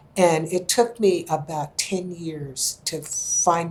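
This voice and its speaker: Fairly even intonation from a woman with an American accent, amid noticeable background noise. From California, US. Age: 80s+. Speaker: historian and artist. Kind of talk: interview.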